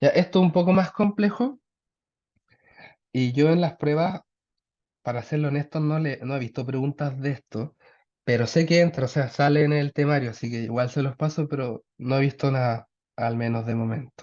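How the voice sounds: A man's voice sits at medium pitch with a slightly mellow tone. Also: ordinary pitch variation, moderate pace.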